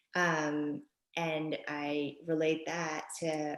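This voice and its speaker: A woman speaks with a New York accent. Her pitch is very deep and low. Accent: New York area American. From US Northeast, Westchester, New York (born in Japan, moved at five). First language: Japanese. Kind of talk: podcast interview. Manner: hesitant, many fillers.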